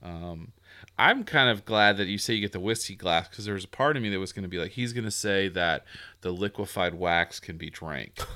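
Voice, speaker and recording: A man with a plain, everyday voice talks at a fairly quick pace and a fairly low pitch, his pitch varying in an ordinary way. The recording is very clean, with a silent background. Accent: American. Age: 40s. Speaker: podcast host. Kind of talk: casual chat, interview.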